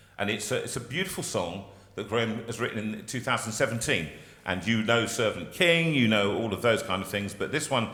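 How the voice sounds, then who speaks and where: Over audible room echo, a man talks fairly quickly with lively intonation and a bright, sharp tone. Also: medium pitch for a man. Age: 60s. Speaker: singer and carol service leader. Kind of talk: hosting a carol service. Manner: halting.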